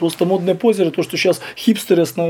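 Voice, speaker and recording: Very fast and with fairly even intonation, a man speaks at a high pitch against noticeable background noise. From Belarus. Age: 40s. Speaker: punk musician. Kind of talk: interview.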